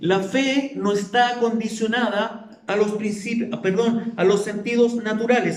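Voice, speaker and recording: Over noticeable background noise, a man with a high pitch talks at a fairly slow pace in a monotone, flat intonation. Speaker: pastor. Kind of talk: sermon.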